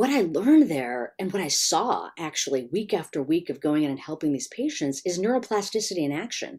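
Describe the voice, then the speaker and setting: Very wide pitch swings in a General American accent, on a very clean recording with a silent background. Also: woman. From US Midwest, Chicago. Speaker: attention researcher. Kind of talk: interview.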